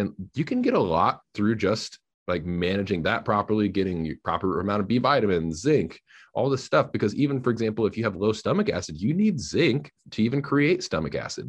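Against a quiet background, a man with an ordinary speaking voice talks at a fairly quick pace, fairly low in pitch with lively intonation. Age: 20s. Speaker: health coach. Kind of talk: casual interview.

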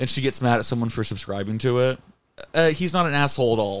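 A man speaks with an American accent, his pitch sitting in the medium range. It is an ordinary speaking voice with ordinary pitch variation. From Florida. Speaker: comedy podcast host. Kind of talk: casual chat.

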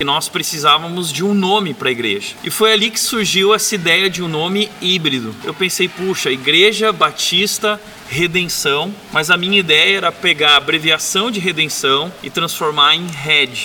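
There is noticeable background noise as a man speaks at a high pitch. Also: ordinary pitch variation, moderate pace, hardly any pauses. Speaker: pastor. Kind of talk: sermon. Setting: church.

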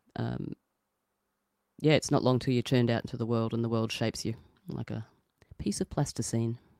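Speaking at a fairly quick pace with long, frequent pauses, a woman has a very deep, low pitch, an Australian accent and ordinary pitch variation, in a dry, close sound with no echo. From New South Wales, Australia. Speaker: podcast co-host. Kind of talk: casual chat.

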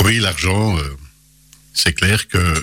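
At a very slow pace, a man with a very deep, low pitch speaks with ordinary pitch variation. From Belgium, Charleroi area (Hainaut). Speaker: local politician. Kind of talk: radio interview. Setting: radio studio. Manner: halting.

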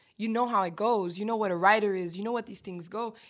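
A woman speaks at a very fast pace in a medium pitch. Her intonation is fairly even. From Haiti, Port-au-Prince. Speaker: rapper and singer-songwriter. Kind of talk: interview.

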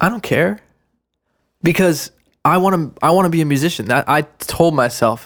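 A man speaks at a moderate pace in a fairly high pitch, with long, frequent pauses. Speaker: rapper and podcast co-host. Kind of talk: casual chat. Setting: studio.

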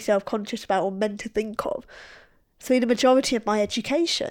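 A woman talks at a very fast pace in a very clean recording with a silent background. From northern England. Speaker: podcast co-host.

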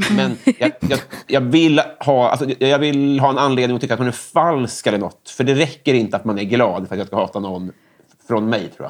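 This man has an unremarkable speaking voice, pitched at a medium level, and he talks at a moderate pace with ordinary pitch variation. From Stockholm area, Sweden (Järfälla). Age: 30s. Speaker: comedian and writer. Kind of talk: casual chat.

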